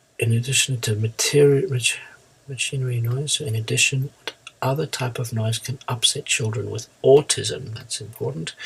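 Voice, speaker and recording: A man's medium-pitched voice with fairly even intonation, a moderate pace, and noticeable background noise. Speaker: IELTS teacher. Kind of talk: tutorial.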